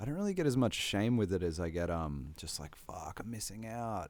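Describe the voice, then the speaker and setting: With an Australian accent, a man speaks at medium pitch and a moderate pace, his intonation lively. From Australia, Sunshine Coast, Queensland. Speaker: hip hop artist. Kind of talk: casual chat.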